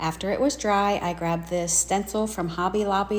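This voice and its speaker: A woman talks at a moderate pace with ordinary pitch variation and vocal fry. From US South. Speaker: craft video creator. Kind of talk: tutorial narration. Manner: casual, chatty.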